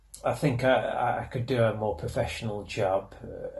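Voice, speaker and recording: Noticeable background noise runs under a man's fairly slow delivery. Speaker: YouTube film commentator. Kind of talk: fan commentary. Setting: away from home. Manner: soft-spoken; halting.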